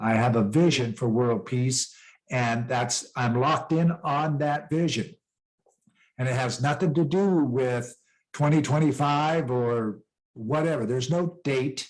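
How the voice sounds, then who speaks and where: A man with an American accent talks at a fairly slow pace. His loudness stays very even and his pitch varies in an ordinary way. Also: medium pitch for a man. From western US (Rocky Mountains). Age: 60s. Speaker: peace ambassador and author. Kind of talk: interview. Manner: conversational, motivational.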